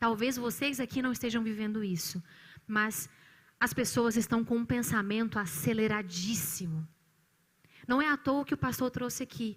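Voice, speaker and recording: A woman speaks at a moderate pace in a fairly high pitch, on a very clean recording with a silent background. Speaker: psychologist. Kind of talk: church talk on mental health.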